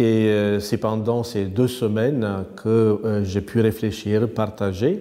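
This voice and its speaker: A man with a Romanian accent, medium in pitch, dark and mellow in tone, at a very slow pace. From Romania, north-east near Roman. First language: Romanian (speaking French). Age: 50s. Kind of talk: interview. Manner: hesitant, many fillers.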